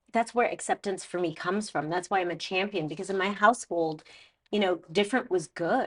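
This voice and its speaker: Against a quiet background, a woman with a Canadian accent talks at medium pitch with ordinary pitch variation. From Canada, Toronto. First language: Spanish. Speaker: makeup artist. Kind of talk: interview.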